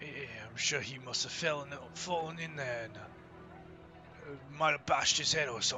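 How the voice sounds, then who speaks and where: A man uses a raspy, put-on character voice at a fairly high pitch. Clear background noise sits behind him. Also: moderate pace. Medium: actual play. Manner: coarse, cursing.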